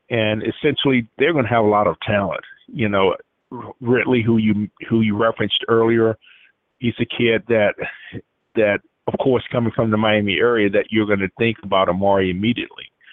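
A man with a Southern US accent talks at a fairly quick pace and medium pitch. His intonation is fairly even and his loudness very even. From Atmore, Alabama. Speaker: recruiting insider. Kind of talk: call-in sports talk. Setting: phone call.

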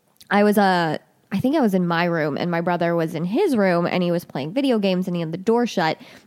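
A woman with a fairly low pitch speaks at a very fast pace in a Northeast Ohio accent. Her pitch varies in an ordinary way, and the recording is very clean with a silent background. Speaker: podcast co-host. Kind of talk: casual chat.

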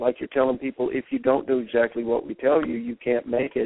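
Talking at a fairly quick pace and medium pitch, a man has an ordinary speaking voice. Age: 50s. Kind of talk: interview.

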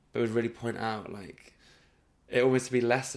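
A man's monotone, flat intonation in a West Midlands accent. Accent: Coventry English. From England, Coventry. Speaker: comedian. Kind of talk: casual chat.

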